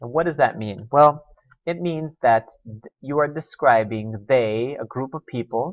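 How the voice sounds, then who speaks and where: A man speaks slowly-ish, his pitch fairly high with ordinary variation. His loudness swings widely. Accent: American. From US South. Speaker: teacher. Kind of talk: lesson. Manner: casual.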